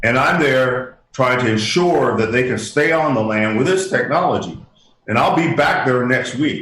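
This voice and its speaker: Audible room echo surrounds a voice held at a very even loudness. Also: man, medium pitch for a man, ordinary pitch variation, moderate pace. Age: 60s. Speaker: inventor and humanitarian. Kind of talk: interview. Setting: radio show. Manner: halting.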